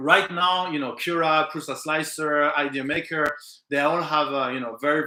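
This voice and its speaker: Bright and sharp in tone, a man with a French accent talks at a moderate pace in a fairly high pitch with fairly even intonation. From French Pacific island. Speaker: live stream host for a 3D printing material company. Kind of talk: live stream chat answering viewer questions. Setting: live stream. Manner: hesitant with many fillers.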